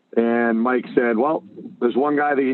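A plain, everyday voice speaks with an American accent at a moderate pace. The intonation is fairly even. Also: man. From Massachusetts (Boston area). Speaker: hockey coach and entrepreneur. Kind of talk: interview.

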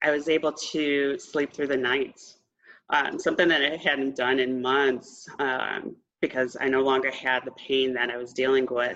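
A woman with an American accent has a very deep, low pitch. She speaks in a monotone, flat intonation. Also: moderate pace. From Texas. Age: 40s. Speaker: patient sharing recovery story. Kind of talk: interview testimony.

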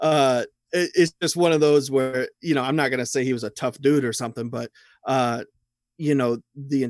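Recorded very cleanly against a silent background with a dry, close sound and no echo, a man speaks at medium pitch and a moderate pace with fairly even intonation. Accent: Midwestern US. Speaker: horror writer, magazine founder. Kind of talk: casual chat.

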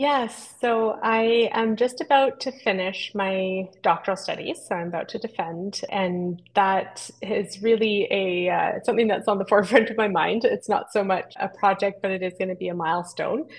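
With a Western Canadian accent, a woman speaks at medium pitch with ordinary pitch variation. Her pace is moderate, with hardly any pauses. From Squamish Nation, British Columbia coast. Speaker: ethnobotanist and author. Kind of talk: interview.

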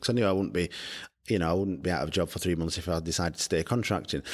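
Against a silent background in a very clean recording, a man with a Yorkshire accent talks with a very deep, low pitch and fairly even intonation. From northern England, Barnsley, South Yorkshire. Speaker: startup founder. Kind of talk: interview.

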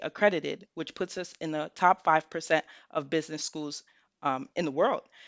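A woman talks at a moderate pace with a fairly low pitch and ordinary pitch variation. She has a plain, everyday voice. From New York City (Bronx). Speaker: college admissions counselor. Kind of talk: interview.

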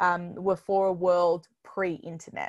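A woman with an Australian accent at a fairly slow pace and fairly even intonation, on a very clean recording with a silent background. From Melbourne, Australia. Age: 20s. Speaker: podcast host and digital educator. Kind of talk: casual interview chat.

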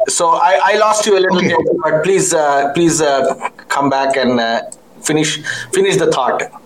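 With audible room echo and noticeable background noise, a man talks at a moderate pace in a high voice, keeping very even loudness and ordinary pitch variation. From northern India. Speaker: podcast host. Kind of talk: interview.

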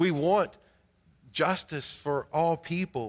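A man with a North Carolina accent and a fairly high-pitched voice. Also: very clean recording, silent background. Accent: North Carolina Southern. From US South, Greensboro, North Carolina. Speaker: pastor. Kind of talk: sermon. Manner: frequent hesitations with uh.

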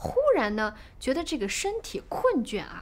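A woman's fairly slow delivery with very wide pitch swings. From China, Shaanxi. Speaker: podcast storyteller. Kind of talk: storytelling narration. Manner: animated.

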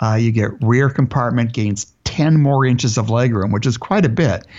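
A man with a plain, everyday voice speaks at a moderate pace and medium pitch, with ordinary pitch variation. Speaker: radio host. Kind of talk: radio dj patter. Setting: radio studio. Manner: upbeat, chatty, fluid host banter.

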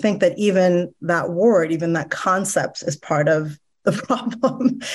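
Lively intonation runs through a normal speaking voice that keeps a moderate pace. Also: woman. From Iran, moved to US at 10. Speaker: educational therapist. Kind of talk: podcast interview.

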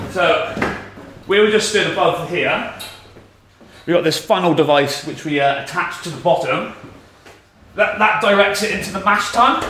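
In a Shropshire accent, a raised, projected voice moves at a moderate pace with ordinary pitch variation and long, frequent pauses, over noticeable background noise. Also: man, high pitch for a man. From West Midlands of England. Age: 20s. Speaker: brewer. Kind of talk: guided tour explanation. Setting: walking around a brewery. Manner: casual, uses lots of fillers.

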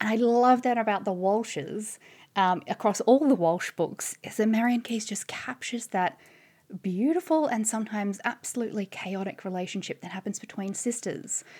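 A woman with an Australian accent talks at a moderate pace, her pitch fairly high with ordinary variation. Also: very clean recording, silent background. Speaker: author and journalist. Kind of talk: casual chat.

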